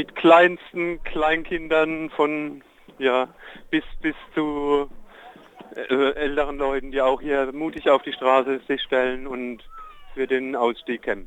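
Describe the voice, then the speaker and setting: The speech is very slow, with long, frequent pauses and fairly even intonation, over noticeable background noise. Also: man, fairly high pitch for a man. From Germany, Palatinate. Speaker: protest participant. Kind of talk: live phone report. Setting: outdoors on a street at a protest, phone call.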